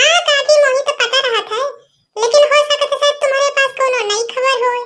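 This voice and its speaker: Using a cartoonish character voice, a woman speaks at an extremely high pitch with fairly even intonation and a moderate pace. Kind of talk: cartoon comedy gossip. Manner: chatty, knowing.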